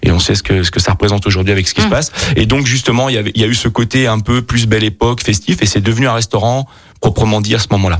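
The voice moves at a very fast pace with very even loudness and ordinary pitch variation, over noticeable background noise. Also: man, fairly low pitch for a man. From Burgundy, France. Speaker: chef and restaurant owner. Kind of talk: radio interview. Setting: studio. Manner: halting, many repetitions.

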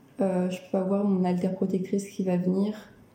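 A woman with a medium pitch speaks in a somewhat breathy voice with a dark, mellow tone. Her pace is fairly slow, and the room echo is audible. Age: 20s. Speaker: person living with dissociative identity disorder. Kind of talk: interview testimony. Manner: halting. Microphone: poor sound quality.

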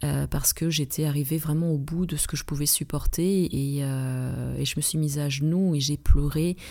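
A woman speaks at a moderate pace with a very deep, low pitch and a dark, mellow tone. Her intonation stays monotone and flat. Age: 40s. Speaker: relaxation therapist and trainer. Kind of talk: advice podcast monologue.

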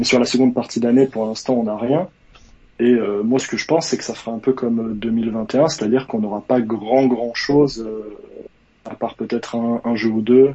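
Speaking at a moderate pace, a man uses an unremarkable speaking voice with medium pitch and fairly even intonation. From Savoie, France. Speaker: caller, gaming fan. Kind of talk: casual chat. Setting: call-in to live stream.

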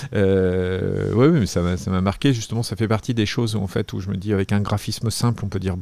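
Fairly low in pitch, this man's voice has a dark, mellow tone. He speaks at a moderate pace. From Paris area, France. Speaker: comic book author and illustrator. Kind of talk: interview. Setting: artist's studio. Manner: halting, with frequent repetitions and fillers.

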